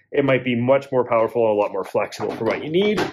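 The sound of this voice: Fast and with lively intonation, a man with a medium pitch speaks with a slightly husky edge.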